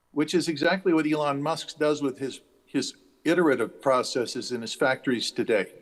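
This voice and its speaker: A man with an American accent, fairly high-pitched for a man, talking at a fairly quick pace with ordinary pitch variation. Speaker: conference keynote speaker. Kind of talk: speech. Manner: halting, off the cuff.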